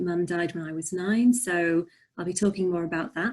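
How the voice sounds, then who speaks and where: With a slight Yorkshire accent, a woman speaks at a moderate pace and a fairly low pitch. Her intonation is fairly even, and the recording is very clean with a silent background. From northern England, Barnsley, Yorkshire. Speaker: poet and author. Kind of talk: interview.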